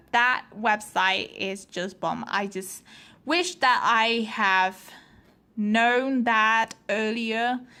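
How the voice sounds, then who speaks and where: Very slowly and in a bright, sharp tone, a woman with a non-native accent and a fairly high pitch speaks on a very clean recording with a silent background. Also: ordinary pitch variation. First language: not English. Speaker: vlogger, pre-med student. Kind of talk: casual vlog talk. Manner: halting, many fillers.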